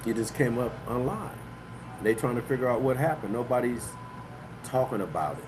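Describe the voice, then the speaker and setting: A man talks, and audible room echo colors the sound. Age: 60s. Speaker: livestream host and author. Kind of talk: casual live-stream monologue. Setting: live online broadcast. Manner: loose, filler-heavy talk (you know what I mean).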